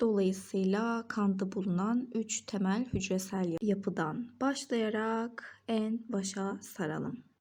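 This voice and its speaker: On a very clean recording with a silent background, a woman speaks at a very slow pace, somewhat breathy, at a medium pitch. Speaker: biology tutor. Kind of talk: educational lesson narration.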